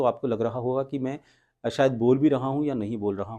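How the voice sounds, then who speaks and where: Doing a put-on character voice, a man mumbles at a fairly quick pace. His pitch sits in the medium range. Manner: slurred, flat, mumbling, without expression.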